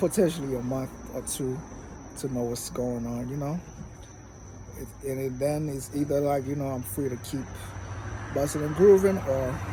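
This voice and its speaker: Speaking at a medium pitch with ordinary pitch variation, a man leaves long, frequent pauses in a room with audible echo. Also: moderate pace. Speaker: vlogger. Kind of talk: casual vlog monologue. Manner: many filler words.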